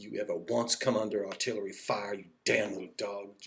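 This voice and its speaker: A man puts on a growling, hissing character voice at a moderate pace, fairly low in pitch, with a monotone, flat intonation. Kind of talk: stern, scolding. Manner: hissing, menacing.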